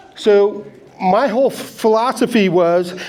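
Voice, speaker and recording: A man's voice with ordinary pitch variation, noticeable background noise and audible room echo. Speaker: gold prospecting instructor. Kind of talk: lecture.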